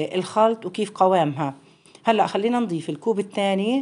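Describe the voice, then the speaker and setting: With ordinary pitch variation, this woman talks at a fairly slow pace. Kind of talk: tutorial. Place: home room. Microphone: phone near.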